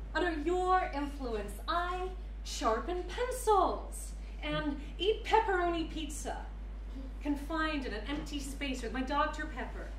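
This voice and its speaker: Heard with audible room echo and light background noise, a woman speaks at a very slow pace. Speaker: actor performing a monologue. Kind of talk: theatrical monologue. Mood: scornful, bitter. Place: hall.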